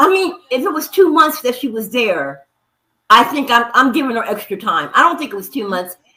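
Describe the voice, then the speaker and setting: This woman speaks in a raised, projected voice, high-pitched, at a moderate pace. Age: 60s. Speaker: livestream guest, commenter. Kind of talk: casual chat.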